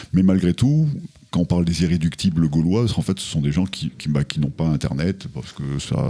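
Noticeable background noise fills the clip. The pace is moderate. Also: man. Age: 60s. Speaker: hiking club president. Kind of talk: radio interview.

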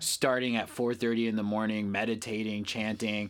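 The recording is very clean with a silent background, and the man on it has a medium-pitched voice. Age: 30s. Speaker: ecstatic dance DJ. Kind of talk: casual interview chat.

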